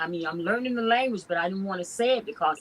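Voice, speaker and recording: With an American accent, a woman talks at a medium pitch with ordinary pitch variation. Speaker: festival co-host. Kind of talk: casual panel discussion.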